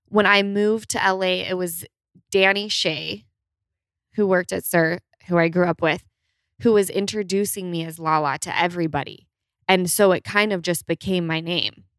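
A woman with a Utah accent at a fairly low pitch and moderate pace, with long, frequent pauses, in a dry, close sound with no echo on a very clean recording with a silent background. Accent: Utah twang, noticeable. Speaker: guest. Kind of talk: casual chat.

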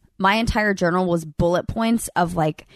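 Over a quiet background, a woman with an American accent speaks at a fairly low pitch with fairly even intonation, in a dry, close sound with no echo. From Alabama, Birmingham. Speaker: reality TV alum. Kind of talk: casual chat. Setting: in person at a lake house.

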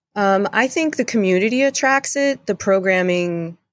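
On a very clean recording with a silent background, a woman with an American accent speaks at a moderate pace, medium in pitch, with very wide pitch swings. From US, Delaware. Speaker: CrossFit gym owner and coach. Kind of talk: interview.

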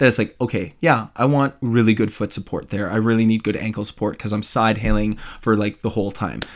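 An ordinary speaking voice from a man at medium pitch comes through with fairly even intonation on a very clean recording with total background silence. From Canada. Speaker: guest host, YouTube outdoors creator. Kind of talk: casual chat.

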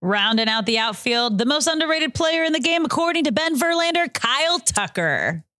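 A woman in an American accent, high-pitched and raised, projected, at a fairly quick pace with hardly any pauses, very wide pitch swings and very even loudness. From Los Angeles area, US. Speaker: baseball podcast co-host. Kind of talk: casual sports chat.

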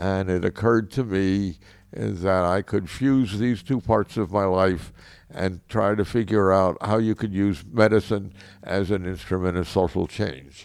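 An ordinary speaking voice from a man, fairly low in pitch with ordinary pitch variation, at a fairly slow pace, in a very clean recording with a silent background. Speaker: physician. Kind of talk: interview recollection.

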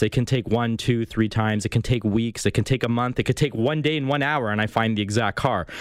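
This man uses a normal speaking voice at a fairly fast clip. His medium pitch shows ordinary variation. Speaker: used car broker. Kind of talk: radio call-in advice, sales pitch. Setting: radio studio. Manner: chatty, salesman-like.

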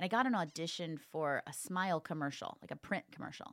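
This woman has an unremarkable speaking voice, a fairly low pitch, and an American accent. She speaks at a moderate pace with lively intonation on a very clean recording with a silent background. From US Midwest, northern Indiana. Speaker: actor and ventriloquist. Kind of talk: casual interview chat.

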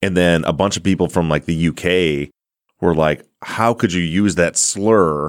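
A very deep male voice with a slight Midwestern accent, fairly slow and very even in loudness, in a dry, close sound with no echo and a very clean recording with a silent background. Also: fairly even intonation. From US Midwest. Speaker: podcast host. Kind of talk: casual interview chat.

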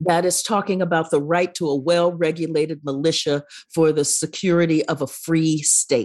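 A woman speaks at a moderate pace with a fairly low pitch. The background is quiet. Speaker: professor and author. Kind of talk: interview. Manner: energetic, engaging.

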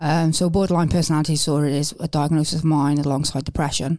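The tone is dark and mellow, with flat, monotone intonation and a Welsh accent. The recording is very clean and the background silent. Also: woman. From Wales. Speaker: former mental health patient. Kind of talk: interview.

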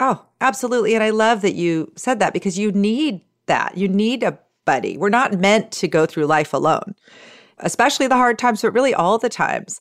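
A woman speaks at a fairly quick pace with a fairly high pitch, lively intonation and very even loudness, on a very clean recording with a silent background. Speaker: author and parenting podcaster. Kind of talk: casual chat.

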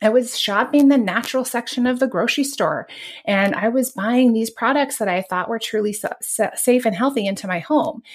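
In a normal speaking voice, a woman talks fairly quickly at a fairly high pitch with ordinary pitch variation. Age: 40s. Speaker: podcast host, toxin-free living advocate. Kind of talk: casual interview.

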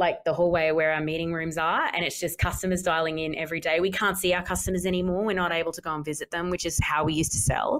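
A woman's fairly low voice with an Australian accent, very fast pace, and fairly even intonation. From Australia, Townsville (Queensland). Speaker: company CEO and co-founder. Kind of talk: interview.

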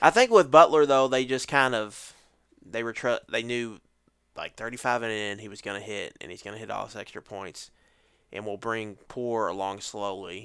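In an unremarkable speaking voice, a man talks at a moderate pace and medium pitch with ordinary pitch variation, on a very clean recording with a silent background. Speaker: football podcast host. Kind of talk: casual chat.

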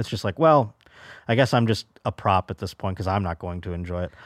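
Here a man with an American accent talks at a fairly quick pace in an ordinary speaking voice with ordinary pitch variation. The sound is dry and close, with no echo. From Buffalo, New York. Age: 30s. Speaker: stand-up comedian. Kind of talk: casual chat.

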